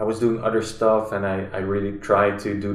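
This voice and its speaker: A man speaks at a moderate pace in a room with audible echo and faint music in the background. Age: 30s. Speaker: musician; podcast guest. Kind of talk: casual chat. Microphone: camera far.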